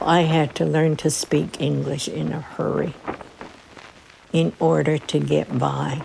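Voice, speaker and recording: A woman at a very slow pace, with long, frequent pauses and noticeable background noise. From Laguna Pueblo, New Mexico. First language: Keresan. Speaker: retired nurse. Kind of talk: oral history interview answer.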